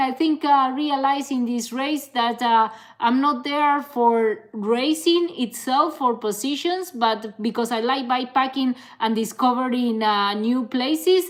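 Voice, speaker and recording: A woman speaks at a high pitch with ordinary pitch variation. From Canary Islands, Spain. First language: Spanish. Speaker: ultra-distance cyclist and content creator. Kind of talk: live stream Q&A. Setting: live stream. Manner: casual, hesitant with fillers.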